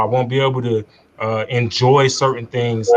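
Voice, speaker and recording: A man in an American accent with monotone, flat intonation. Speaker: army veteran. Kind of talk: testimony. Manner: halting.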